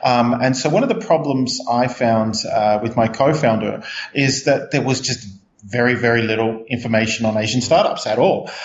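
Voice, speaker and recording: In an Australian accent, a man talks at a moderate pace with fairly even intonation, with audible room echo and noticeable background noise in the recording. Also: medium pitch for a man. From Australia, Melbourne. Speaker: startup CEO. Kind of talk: interview. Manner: halting, many fillers.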